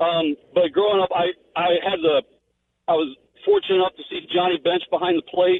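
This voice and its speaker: A man with an American accent, high-pitched, at a moderate pace, in a monotone, flat intonation. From Cincinnati, Ohio. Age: 40s. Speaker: caller. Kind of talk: phone-in call. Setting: phone call.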